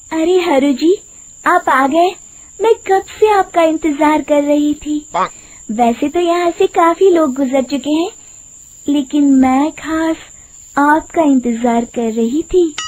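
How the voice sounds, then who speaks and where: A woman uses a put-on character voice, high in pitch and full of cackling. She goes at a fairly slow pace over light background noise. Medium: cartoon. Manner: sweet-talking, then cackling.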